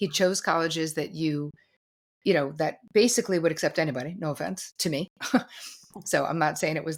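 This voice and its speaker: An unremarkable speaking voice with an American accent, fairly quick with ordinary pitch variation, on a very clean recording with a silent background. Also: woman. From New Jersey, US. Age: 60s. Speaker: therapist and author. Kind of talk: interview conversation.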